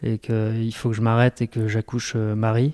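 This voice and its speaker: A man speaks at a medium pitch in a dark, mellow tone with flat, monotone intonation. The recording is very clean with a silent background, and the sound is dry and close with no echo. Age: 40s. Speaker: web entrepreneur and ultra-trail runner. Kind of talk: personal testimony in an interview. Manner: hesitant, many repetitions and fillers.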